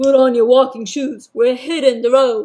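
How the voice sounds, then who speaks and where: In a put-on character voice, a man speaks at an extremely high pitch, raspy and at a moderate pace, with fairly even intonation. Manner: commanding.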